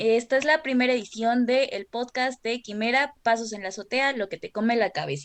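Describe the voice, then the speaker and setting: A woman talks at a moderate pace. Her high voice shows ordinary pitch variation. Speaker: student podcast host. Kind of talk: scripted introduction.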